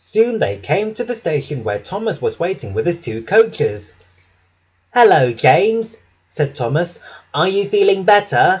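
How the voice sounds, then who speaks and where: At a fairly slow pace, the voice carries a gentle, animated tone with very wide pitch swings. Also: man, high pitch for a man. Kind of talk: children's story narration with character voices. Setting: audio narration recording. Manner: gentle, animated storyteller, changing voices for each engine.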